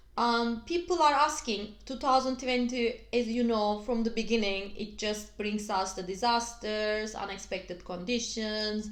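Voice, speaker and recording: Audible room echo surrounds a woman with a Turkish accent, who speaks at a fairly high pitch with ordinary pitch variation, keeping a fairly slow pace with hardly any pauses. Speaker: astrologer. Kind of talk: video tutorial. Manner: halting, many fillers.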